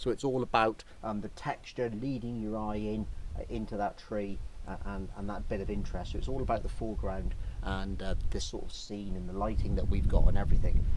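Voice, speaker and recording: A man speaks at a fairly quick pace. The sound is dry with no echo, though noticeable background noise is present. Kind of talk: casual vlog chat. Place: open country.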